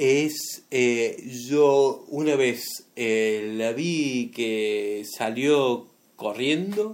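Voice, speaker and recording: Ordinary pitch variation runs through a man's medium-pitched speech. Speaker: amateur radio show co-host. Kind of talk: casual joking chat.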